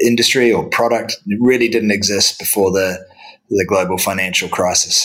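In a New Zealand accent, a man speaks at a fairly low pitch and a fairly slow pace with monotone, flat intonation. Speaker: real estate debt investment executive. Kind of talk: interview. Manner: halting with fillers.

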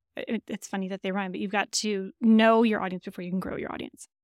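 In a very clean recording with a silent background, a woman speaks at a fairly high pitch in a Michigan accent. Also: dry, close sound with no echo. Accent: nasal Michigan. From Michigan, Lansing. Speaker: software company CEO. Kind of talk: interview conversation. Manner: animated.

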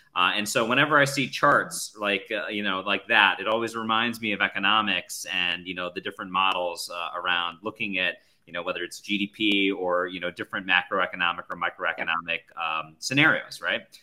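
Bright and sharp in tone, a man with a fairly low pitch talks at a fairly quick pace with ordinary pitch variation and hardly any pauses. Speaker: podcast host. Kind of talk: casual chat.

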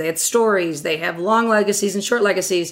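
In a plain, everyday voice, a woman with an American accent speaks at a medium pitch and a fairly quick pace, her intonation fairly even. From Western New York, Batavia. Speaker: marketing executive. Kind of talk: interview.

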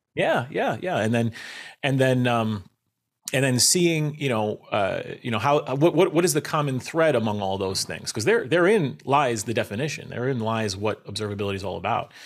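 With a slight New York accent, a man speaks using lively intonation. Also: medium pitch for a man, moderate pace. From Long Island, New York. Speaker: network engineer in technical marketing. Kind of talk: casual interview conversation.

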